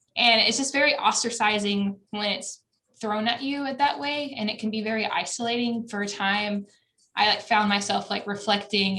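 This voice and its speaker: A woman is speaking. She has a Southern US accent. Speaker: college adviser. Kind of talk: conference presentation.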